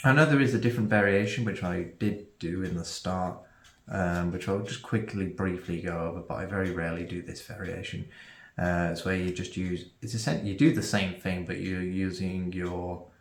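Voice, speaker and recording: Audible room echo surrounds a man speaking at a very deep, low pitch and moderate pace with ordinary pitch variation. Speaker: magic tutorial creator. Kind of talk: tutorial. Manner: halting, many fillers.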